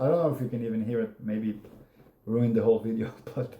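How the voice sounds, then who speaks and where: At a very fast pace, a man speaks in a monotone, flat intonation at medium pitch, his tone dark and mellow and somewhat breathy. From Israel. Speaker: YouTuber. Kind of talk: casual monologue.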